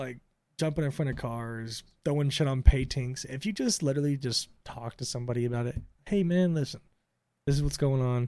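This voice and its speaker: In an American accent, a man speaks fairly quickly with a medium pitch, a dark, mellow tone and ordinary pitch variation. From Tampa, Florida. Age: 20s. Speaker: podcast co-host. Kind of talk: casual banter, crude comedic debate. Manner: joking, profane.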